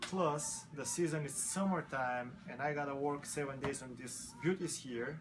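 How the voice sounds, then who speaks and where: With a non-native accent, a man speaks fairly slowly at a fairly high pitch with ordinary pitch variation, amid audible room echo and music in the background. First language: not English. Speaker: motorcycle mechanic. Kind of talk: interview.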